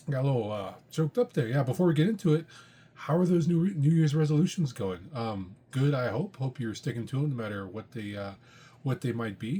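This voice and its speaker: Somewhat breathy and at a medium pitch, a man talks at a fairly quick pace with very wide pitch swings. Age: 40s. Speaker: comic book podcast host. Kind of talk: casual monologue. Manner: hesitant with frequent fillers.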